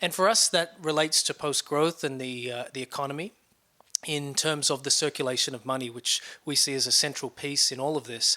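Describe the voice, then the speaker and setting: This man's voice sits fairly high in pitch and has a bright, sharp tone. He talks at a fairly quick pace. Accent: Australian. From Australia, Sydney. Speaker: nonprofit research director. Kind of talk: interview. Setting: conference event.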